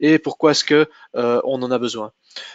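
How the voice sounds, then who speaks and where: Speaking with a Flemish accent, a man talks at a fairly slow pace with fairly even intonation. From Flanders, Belgium. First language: Dutch (speaking French). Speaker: sales manager presenting a tech webinar. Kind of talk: technical webinar presentation. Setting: online webinar. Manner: halting, many hesitations.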